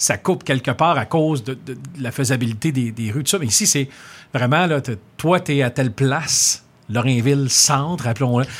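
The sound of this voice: A man talks at a moderate pace, his pitch medium, with ordinary pitch variation.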